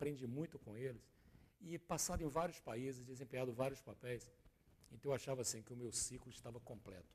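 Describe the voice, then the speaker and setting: A man's dark, mellow voice comes through somewhat breathy. He moves at a fairly quick pace with ordinary pitch variation. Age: 60s. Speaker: business consultant and former executive. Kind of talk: TV interview. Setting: TV studio.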